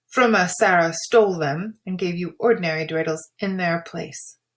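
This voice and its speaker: A female-sounding voice puts on a gruff character voice at a medium pitch. The pace is moderate. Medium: read story. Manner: gruff, muttering.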